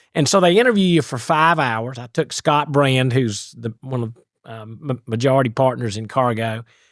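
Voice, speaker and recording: With an East Tennessee accent, a man speaks at a moderate pace and medium pitch with ordinary pitch variation and big swings in loudness, in a very clean recording with a silent background. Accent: Southern (East Tennessee). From East Tennessee, US South. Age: 60s. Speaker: business author and CEO. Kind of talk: podcast interview storytelling.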